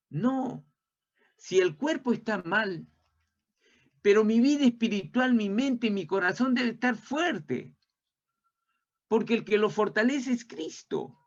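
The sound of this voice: A man speaks slowly in a high-pitched voice with lively intonation. Long pauses come often.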